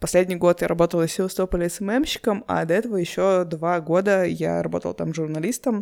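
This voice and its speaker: With an unremarkable speaking voice, a woman talks fairly low in pitch at a fairly quick pace, with ordinary pitch variation and hardly any pauses. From Urals, Russia (Yekaterinburg). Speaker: podcast host. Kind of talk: solo podcast monologue.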